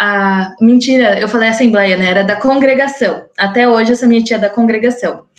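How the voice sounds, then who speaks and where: A woman's fairly high pitch holds fairly even intonation in a normal speaking voice. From southern Brazil, Curitiba (Paraná) since age 10. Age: 20s. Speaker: podcast guest sharing her life story. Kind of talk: personal testimony. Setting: recorded conversation.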